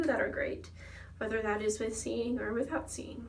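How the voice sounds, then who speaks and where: Audible room echo surrounds a woman speaking with an American accent. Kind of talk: casual vlog monologue. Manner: animated.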